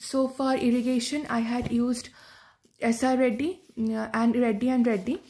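A woman is speaking. Her voice sits high in pitch. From India, West Bengal. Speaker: agriculture student, exam ranker. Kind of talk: testimonial talk, exam tips. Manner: hesitant, many fillers. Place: home room. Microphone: phone near.

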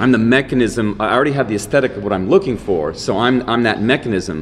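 Animated and lively in intonation, a man talks at a very fast pace over light background noise. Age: 50s. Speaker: dance professor and filmmaker. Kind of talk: interview. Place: meeting room. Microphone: studio mic.

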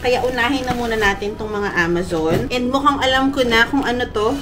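Over light background noise, a woman speaks at a high pitch with lively intonation at a moderate pace. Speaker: vlogger. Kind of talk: casual vlog chat. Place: home room. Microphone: phone near.

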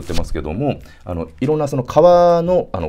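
Over light background noise, a man with a dark, mellow tone speaks at a fairly quick pace, his pitch swinging very widely. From Hiroshima, Japan; Japan. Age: 40s. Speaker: entrepreneur vlogger. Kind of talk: solo business vlog monologue. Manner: filler-heavy, polite casual. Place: home room.

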